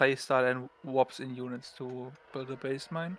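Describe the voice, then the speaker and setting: A man with a strong German accent speaks at a medium pitch with fairly even intonation. The recording is very clean, with a silent background and a dry, close sound with no echo. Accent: German, thick. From Germany. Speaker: esports co-caster. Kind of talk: live commentary.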